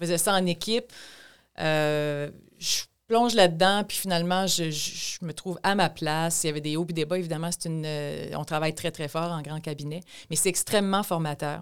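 Heard on a very clean recording with a silent background, a plain, everyday voice speaks at a moderate pace with fairly even intonation. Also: woman, fairly low pitch for a woman. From Quebec, Chaudière-Appalaches (Thetford Mines). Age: 50s. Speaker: provincial politician. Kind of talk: interview.

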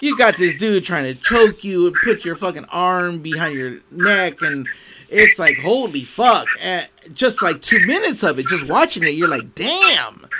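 A man projects his high-pitched voice with lively intonation. He speaks at a fairly slow pace. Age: 50s. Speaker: podcast host. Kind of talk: casual interview. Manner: animated.

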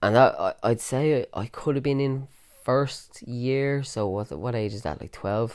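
On a very clean recording with a silent background, a man of medium pitch speaks at a fairly slow pace. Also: ordinary pitch variation. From Ireland, Dublin area. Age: 30s. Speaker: podcaster with cystic fibrosis. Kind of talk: personal monologue. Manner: casual, many fillers.

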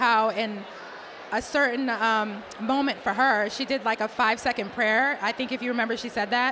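A woman's voice with fairly even intonation over noticeable background noise. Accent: American. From Boston, US. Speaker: diversity executive, conference founder. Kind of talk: interview conversation.

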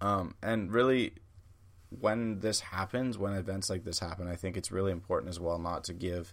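A man with a Canadian accent, very deep and low in pitch, fairly quick, with fairly even intonation, on a very clean recording with a silent background. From Canada. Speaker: podcast host. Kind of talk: opinion monologue. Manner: casual with frequent fillers.

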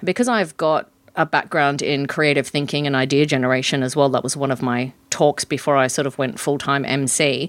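With an Australian accent, a woman speaks at a fairly quick pace in a very deep, low pitch, her intonation fairly even. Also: hardly any pauses, very clean recording, silent background. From Western Australia. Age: 50s. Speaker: professional MC and facilitator. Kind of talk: interview.

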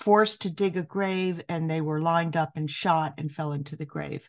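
A woman with an unremarkable speaking voice and an American accent talks at a moderate pace with fairly even intonation and fairly low pitch. The background is quiet. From New York City. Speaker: piano professor. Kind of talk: interview.

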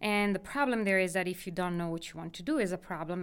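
In an Italian accent, a woman with a fairly low pitch talks at a fairly quick pace on a very clean recording with a silent background. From northern Italy, near Milan. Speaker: geology professor. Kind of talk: interview.

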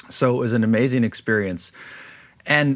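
A man has an ordinary speaking voice at a medium pitch on a very clean recording with a silent background. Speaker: community safety and police reform consultant. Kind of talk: interview.

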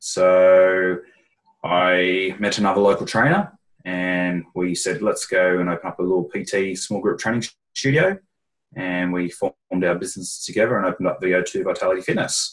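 On a very clean recording with a silent background, a man with an Australian accent and a very deep, low pitch speaks at a moderate pace with fairly even intonation. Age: 40s. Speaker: personal trainer and fitness business consultant. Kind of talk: casual interview.

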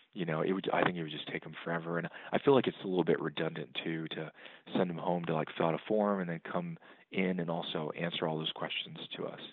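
A man with an American accent talks at a very fast pace, his very deep, low voice fairly even in intonation. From Texas, San Antonio. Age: 40s. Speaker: bankruptcy attorney. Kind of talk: interview. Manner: hesitant, many fillers.

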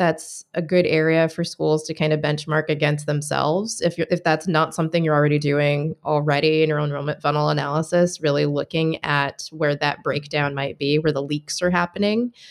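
Speaking at a fairly quick pace with hardly any pauses, a woman with an American accent uses a very deep, low pitch and fairly even intonation. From Michigan. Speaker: enrollment marketing specialist. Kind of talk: casual chat.

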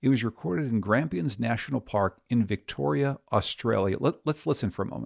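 A man with an unremarkable speaking voice, medium pitch, lively intonation and a fairly quick pace, in a very clean, dry, close recording with a silent background and no echo. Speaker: radio host. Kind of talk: interview for a radio show.

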